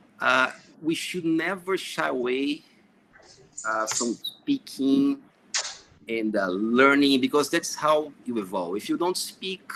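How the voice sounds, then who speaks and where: With a Brazilian accent, a man talks very slowly with long, frequent pauses. His voice is fairly high and bright, sharp in tone, with lively intonation. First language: Portuguese. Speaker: engineer and project manager. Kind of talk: panel discussion. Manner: hesitant with many fillers.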